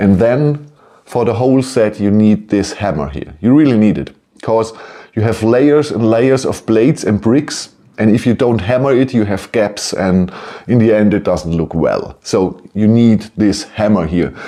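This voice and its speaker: In a German accent, a man speaks fairly slowly with a dark, mellow tone, a fairly low pitch and ordinary pitch variation. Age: 50s. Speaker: toy building set reviewer. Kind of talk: product review. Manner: halting; animated.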